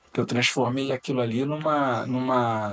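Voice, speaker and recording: A man speaks over noticeable background noise. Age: 60s. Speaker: business angel and mentor. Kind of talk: podcast interview.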